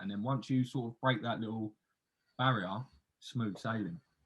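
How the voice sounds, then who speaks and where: A man speaks with an English accent. His pitch is medium, with ordinary pitch variation. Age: 20s. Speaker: podcast host. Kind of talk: casual chat.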